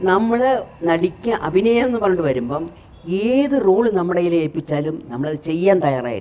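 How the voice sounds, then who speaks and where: A woman talks at a fairly low pitch. Her voice moves through very wide pitch swings. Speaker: actress. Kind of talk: interview answer. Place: home room.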